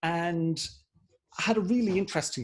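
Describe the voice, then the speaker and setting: Speaking at a moderate pace, a man with an Irish accent shows ordinary pitch variation. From Ireland. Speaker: political party director. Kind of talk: interview. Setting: video call.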